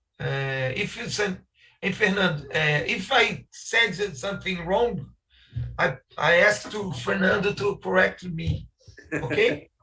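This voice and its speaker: With music in the background, a man with a high pitch speaks at a fairly slow pace with lively intonation. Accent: Brazilian. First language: Portuguese. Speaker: architect. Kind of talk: conference talk. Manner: halting.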